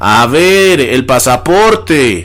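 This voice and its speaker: A shrill put-on character voice from a man at a medium pitch. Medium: read story. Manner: shrill, squealing.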